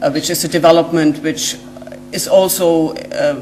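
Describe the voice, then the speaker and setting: Amid noticeable background noise and audible room echo, a woman with a German accent speaks at a fairly low pitch. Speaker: genetic scientist. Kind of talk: lecture. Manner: hesitant, many fillers.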